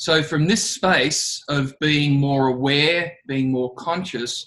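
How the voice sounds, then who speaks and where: With an Australian accent, a man speaks at a fairly high pitch. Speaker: leadership trainer. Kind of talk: talk to students.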